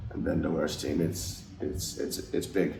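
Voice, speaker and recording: Speaking at a moderate pace, a man shows vocal fry, with audible room echo around him. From Finland. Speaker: ice hockey player. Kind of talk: interview. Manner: halting.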